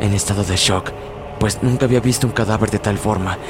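Amid noticeable background noise, a man speaks fairly quickly and with fairly even intonation. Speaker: podcast narrator of horror stories. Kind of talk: horror story narration, first-person, eerie and suspenseful. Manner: descriptive, gloomy, building dread.

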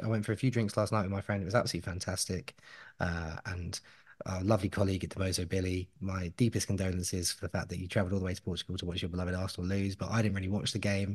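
Somewhat breathy, a man speaks at a very fast pace over a quiet background. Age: 30s. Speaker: podcast host. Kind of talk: casual chat. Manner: animated.

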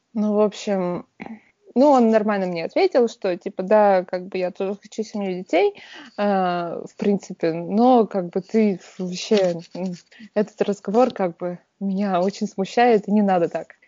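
A woman with a plain, everyday voice speaks at a fairly slow pace and medium pitch, her intonation fairly even. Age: 30s. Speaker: podcast co-host. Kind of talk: casual chat. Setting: video call.

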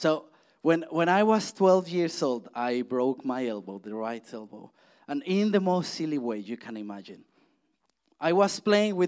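This speaker has a Spanish accent and talks at a moderate pace. The pitch swings very widely. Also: man. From Mexico. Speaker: church speaker. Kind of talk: sermon. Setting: church. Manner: halting.

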